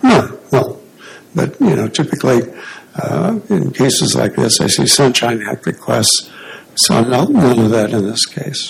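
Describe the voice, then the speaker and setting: A man talks quietly at a fairly slow pace. Noticeable background noise runs behind him. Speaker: attorney arguing appeal. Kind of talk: courtroom oral argument. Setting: courtroom at podium. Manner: too quiet; hesitant, many fillers. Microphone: too far from mic.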